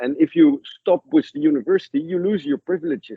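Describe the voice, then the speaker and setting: A man with a Dutch accent and very wide pitch swings. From Netherlands. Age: 60s. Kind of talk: interview storytelling. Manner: halting; animated.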